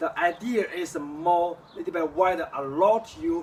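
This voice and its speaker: This is a man's voice. He speaks with a Chinese accent. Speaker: kung fu teacher. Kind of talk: tutorial. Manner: halting.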